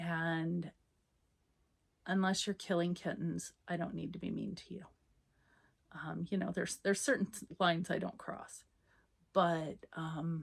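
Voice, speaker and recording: With vocal fry and a fairly low pitch, a woman speaks at a fairly slow pace, with fairly even intonation and long, frequent pauses. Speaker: knitting podcaster. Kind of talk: casual monologue.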